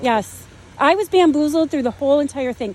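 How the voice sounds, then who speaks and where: A woman speaks loudly in a high voice, her pitch varying in an ordinary way. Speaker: homeowner in property dispute. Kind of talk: heated argument with officers.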